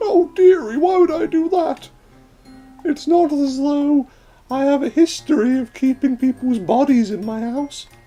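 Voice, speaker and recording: Over faint music in the background, a man uses a put-on character voice at an extremely high pitch, moving at a moderate pace. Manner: sweet, faux-innocent.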